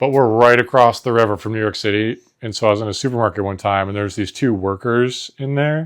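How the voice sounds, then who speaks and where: On a very clean recording with a silent background, a man with an American accent and fairly low pitch speaks fairly quickly with ordinary pitch variation. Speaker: podcast co-host. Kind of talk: casual chat. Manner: animated.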